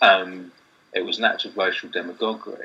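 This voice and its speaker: With a southern English accent, a man speaks at a moderate pace. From southeast England, Kent/London borders. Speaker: university lecturer and writer. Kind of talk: casual discussion.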